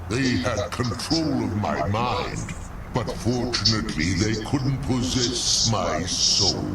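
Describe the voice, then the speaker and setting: A man's put-on character voice at a fairly slow pace, with a slight echo and loud background noise. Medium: machinima. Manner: slow, sorrowful.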